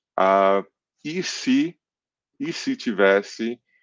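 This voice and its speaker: A man's voice with ordinary pitch variation sounds dry, with no echo. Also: quiet background. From England, then Brazil from age 10. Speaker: comic book artist. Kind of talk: interview. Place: home room. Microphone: headset.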